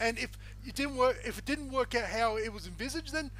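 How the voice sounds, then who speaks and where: A man at a fairly quick pace, with an Australian accent. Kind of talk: casual banter, recap. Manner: jokey, talkative.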